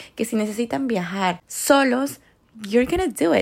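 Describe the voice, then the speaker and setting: Animated in tone, a woman speaks at a fairly slow pace with lively intonation. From Ecuador. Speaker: podcast host. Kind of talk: casual monologue. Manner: code-switching into English.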